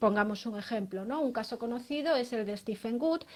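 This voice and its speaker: A woman with a fairly high pitch talks at a moderate pace with ordinary pitch variation. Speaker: lawyer. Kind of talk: interview. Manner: hesitant, many fillers.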